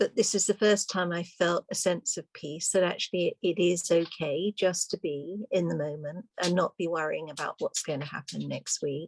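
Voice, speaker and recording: A plain, everyday voice at a moderate pace, fairly even in intonation with hardly any pauses, in dry, close sound with no echo. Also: woman, fairly low pitch for a woman. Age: 60s. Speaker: webinar participant. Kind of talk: casual chat.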